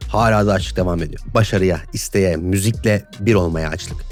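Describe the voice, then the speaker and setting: With music in the background, the words come at a fairly quick pace. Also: man. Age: 20s. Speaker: mix engineer and YouTuber. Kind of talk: casual podcast monologue.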